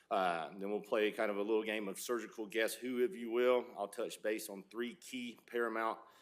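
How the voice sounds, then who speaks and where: A Southern US accent, fairly even intonation and a moderate pace. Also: man. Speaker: surgical resident. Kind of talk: lecture. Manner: loud.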